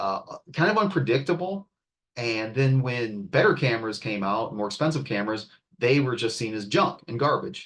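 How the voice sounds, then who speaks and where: With an ordinary speaking voice at medium pitch, a man talks at a moderate pace with lively intonation. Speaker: art and design instructor. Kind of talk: class tutorial demo.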